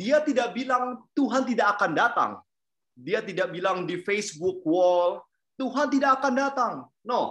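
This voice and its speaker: The recording is very clean with a silent background. Delivery comes at a fairly slow pace. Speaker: preacher. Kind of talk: sermon. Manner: hesitant, many fillers.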